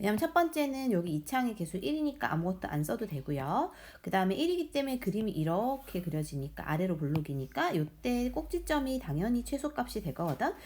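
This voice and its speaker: A woman's somewhat breathy voice at medium pitch, very wide pitch swings, a fairly quick pace with hardly any pauses, in a very clean recording with a silent background. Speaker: math teacher. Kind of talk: tutorial. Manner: fast.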